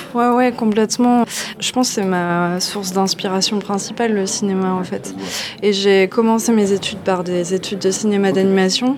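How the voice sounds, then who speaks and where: With noticeable background noise behind her, a woman speaks at a medium pitch. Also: fairly even intonation, moderate pace. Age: 30s. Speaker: comic book author. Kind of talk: interview. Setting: comics festival.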